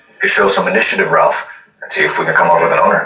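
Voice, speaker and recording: A put-on character voice, raspy, delivered at a very fast pace. There's a slight echo on the recording. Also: man. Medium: game stream. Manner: calm, clipped, serious.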